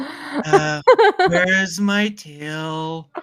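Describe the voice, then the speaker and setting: The speaker puts on a character voice pitched in the middle range. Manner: gloomy, drawn-out.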